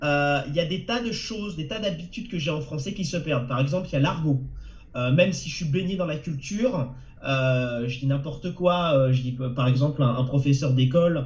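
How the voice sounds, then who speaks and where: A fairly high male voice with ordinary pitch variation at a moderate pace, plus audible room echo and noticeable background noise. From France. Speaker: novelist and translator. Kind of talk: webinar interview. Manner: halting.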